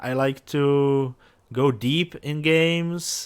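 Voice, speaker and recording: This man has a non-native accent. His voice sits fairly high. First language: not English. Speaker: gaming youtuber. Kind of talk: let's play commentary. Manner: halting, many fillers.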